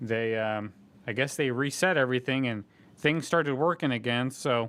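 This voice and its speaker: In an unremarkable speaking voice, a man talks at medium pitch and a middling pace, his pitch moving in a normal way. The audio is very clean, with a completely silent background. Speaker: live coin auctioneer and host. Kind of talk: casual live-stream talk to viewers. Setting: home or shop live stream via internet connection.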